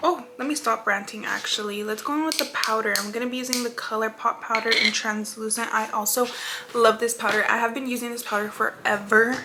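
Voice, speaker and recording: Noticeable background noise sits behind the voice. A woman speaks at a fairly quick pace with a fairly high pitch and fairly even intonation. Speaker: beauty vlogger. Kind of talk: makeup tutorial. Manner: fast.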